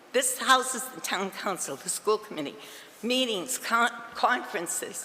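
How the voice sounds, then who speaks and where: Over noticeable background noise, a woman with a New England accent talks at a moderate pace and a fairly high pitch. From Massachusetts. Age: 70s. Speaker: resident speaking at public comment. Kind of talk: public comment at town council meeting. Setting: council chambers. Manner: halting.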